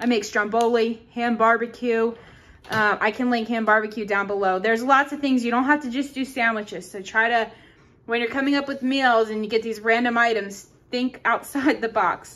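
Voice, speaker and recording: This woman's voice has a fairly high pitch. Her intonation stays fairly even. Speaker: couponing vlogger. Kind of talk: shopping haul tutorial. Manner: fast.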